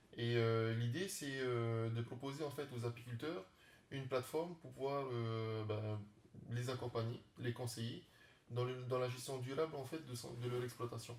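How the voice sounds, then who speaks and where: Somewhat breathy, this man talks with fairly even intonation. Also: medium pitch for a man, moderate pace. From French Polynesia (Tahiti). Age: 30s. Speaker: startup founder and beekeeper. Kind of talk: interview. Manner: halting, many fillers.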